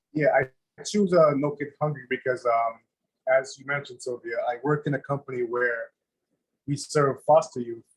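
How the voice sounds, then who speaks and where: In a West Indian accent, a man speaks at a moderate pace with a fairly high pitch. His voice is somewhat breathy and his intonation fairly even. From Saint Lucia. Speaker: chef. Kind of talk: casual chat. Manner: halting.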